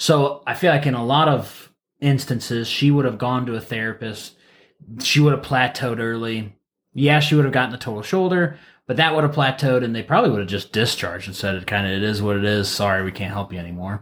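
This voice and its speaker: A man's plain, everyday voice, medium in pitch, with an American accent, ordinary pitch variation and a fairly quick pace. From US Midwest, Ohio. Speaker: physical therapist podcast co-host. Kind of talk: casual chat about a patient case.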